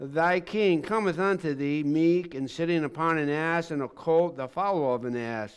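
Talking fairly slowly, the man uses a high pitch, and the background is quiet. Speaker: pastor. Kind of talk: scripture reading. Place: church.

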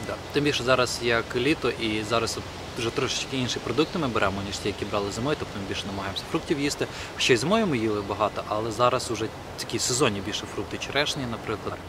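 Talking at a very fast pace, a man comes through over noticeable background noise with a dry sound and no echo. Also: medium pitch for a man, ordinary pitch variation. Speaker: vlogger. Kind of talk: casual vlog. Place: forest.

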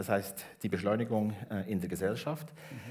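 A man speaks in a somewhat breathy voice with lively intonation. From Switzerland, Bernese Oberland; Switzerland. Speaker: education professor; guest. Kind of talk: public talk on stage. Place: hall. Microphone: headset.

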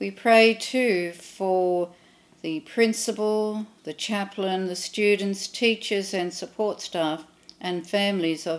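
A woman with an Australian accent speaks very slowly at a medium pitch, her intonation fairly even. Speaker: clergy leading prayer. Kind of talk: read prayers of intercession. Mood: calm, reverent. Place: home room.

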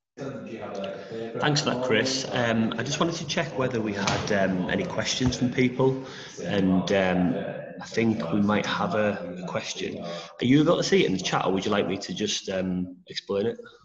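Over noticeable background noise, a man talks at a moderate pace and medium pitch with lively intonation. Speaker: event host. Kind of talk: casual chat. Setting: video call. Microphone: headset.

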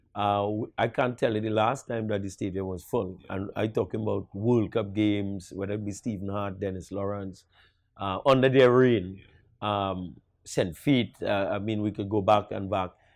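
Against a quiet background, a man with a Trinidadian accent talks at a moderate pace, with fairly low pitch and fairly even intonation. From Trinidad and Tobago. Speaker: national football coach. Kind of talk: interview. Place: studio. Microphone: lapel.

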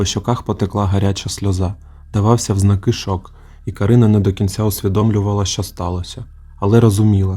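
Reading voice, unforced.

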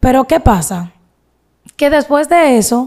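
The voice is a woman's, with a dark, mellow tone. The background is quiet. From Dominican Republic, Santiago; Dominican Republic. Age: 20s. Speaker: social media content creator. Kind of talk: interview, personal life story. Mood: earnest, sometimes aggrieved. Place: studio. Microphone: studio mic.

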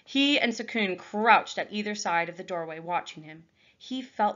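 The clip has a natural reading voice. That is what you hear throughout.

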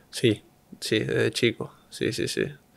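Here a man talks. He goes at a very slow pace. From Argentina. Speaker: professional tennis player; interview guest. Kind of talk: interview. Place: studio. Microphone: studio mic.

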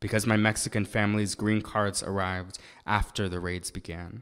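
A man with an American accent talks at a moderate pace in a monotone, flat intonation, his pitch fairly low, against a quiet background. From Massachusetts. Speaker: spoken word poet and activist; spoken word poet. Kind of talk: sermon with spoken word poetry. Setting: synagogue service with live audience. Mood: earnest, serious. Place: church. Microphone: podium.

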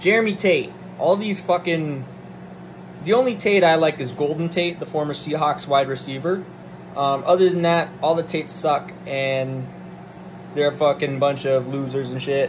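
A man talks in an animated tone at a moderate pace, with a fairly high pitch and ordinary pitch variation. Noticeable background noise is present. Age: 20s. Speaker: political commentator. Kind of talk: solo monologue rant. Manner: hesitant fillers. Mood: irritated, profane rant. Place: home room. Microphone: phone near.

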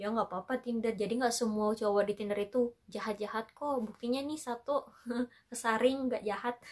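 An ordinary speaking voice at a fairly quick pace, fairly even intonation, quiet background. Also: woman, fairly high pitch for a woman. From Makassar, Indonesia; Indonesia. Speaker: vlogger. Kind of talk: casual storytelling vlog. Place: home room. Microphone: camera far.

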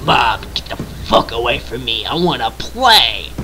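Over clear background noise, a raspy, put-on character voice moves at a moderate pace. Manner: annoyed, shouting.

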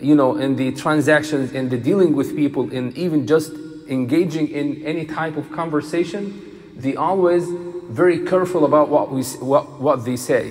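The pitch variation is ordinary. A man talks at a moderate pace. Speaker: imam. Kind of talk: sermon. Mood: calm, gentle. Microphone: headset.

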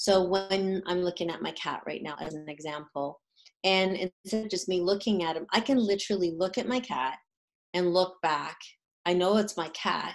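Moderate pace and ordinary pitch variation from a woman speaking. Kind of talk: live-stream talk to an audience. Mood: warm, calm. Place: home room. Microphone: webcam.

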